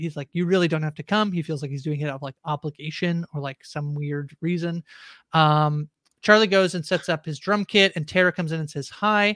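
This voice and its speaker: In a very clean recording with a silent background and a dry, close sound with no echo, a woman with an unremarkable speaking voice talks fairly quickly at a fairly low pitch. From Canada. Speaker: podcast host. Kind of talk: casual chat.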